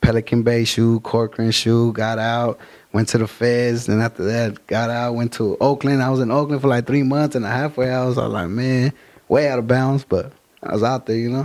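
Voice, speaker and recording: Here a man talks at a moderate pace and a medium pitch. His intonation is monotone and flat. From Fresno, California (born East LA). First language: Spanish. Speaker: rapper. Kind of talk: casual interview. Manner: casual slangy street talk.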